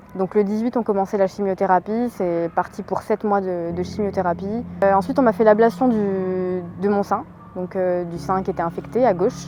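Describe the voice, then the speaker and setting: A woman's voice at medium pitch, moderate pace and fairly even intonation. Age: 20s. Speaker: amateur marathon runner and cancer survivor. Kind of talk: interview testimony. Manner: hesitant with many fillers.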